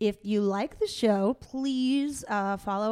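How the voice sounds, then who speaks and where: Spoken at a very slow pace with an American accent, the clip is a very clean recording with a silent background. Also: woman. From Florida. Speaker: podcast host and powerlifting coach. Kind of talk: casual interview. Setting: garage gym.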